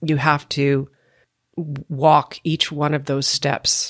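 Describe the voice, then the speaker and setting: This woman speaks with a Canadian accent at a very deep, low pitch, and the sound is dry and close with no echo. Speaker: podcast host and former actor. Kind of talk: interview.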